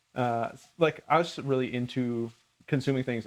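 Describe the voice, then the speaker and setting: A man with a plain, everyday voice speaks at a moderate pace in a medium pitch, with an American accent. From Minnesota. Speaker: cooking channel host. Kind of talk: casual chat.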